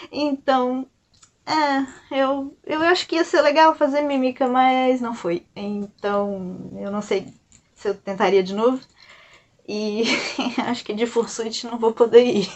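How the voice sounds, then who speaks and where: A woman's high voice at a very slow pace, with lively intonation and long, frequent pauses. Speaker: YouTuber and illustrator. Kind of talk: casual storytelling vlog. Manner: soft-spoken; hesitant, many fillers.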